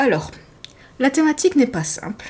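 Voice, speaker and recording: Her pitch swings very widely as this somewhat breathy woman talks at a moderate pace. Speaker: sewing hobbyist vlogger. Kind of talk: casual podcast monologue, partly reading notes. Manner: hesitant, many fillers.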